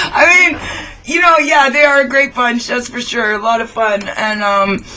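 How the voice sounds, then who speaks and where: The speaker keeps a moderate pace while noticeable background noise carries on. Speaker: rock and metal radio show host. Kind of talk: casual interview chat. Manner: animated.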